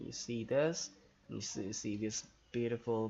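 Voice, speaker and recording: Here a man speaks in a plain, everyday voice with ordinary pitch variation. His pace is fairly slow. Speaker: gamer narrating gameplay. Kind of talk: gameplay commentary.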